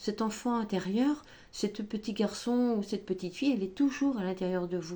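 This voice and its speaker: Soft-spoken and somewhat breathy, a woman with a fairly high pitch and a dark, mellow tone speaks at a moderate pace with ordinary pitch variation. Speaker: tarot and oracle card reader. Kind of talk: spiritual guidance reading. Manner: hesitant, filler-heavy.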